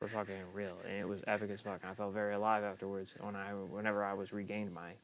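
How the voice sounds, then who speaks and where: Speaking at a very fast pace, a man keeps a monotone, flat intonation at a fairly low pitch. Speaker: live streamer. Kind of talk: casual livestream monologue. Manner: slurred speech; halting, repetitive.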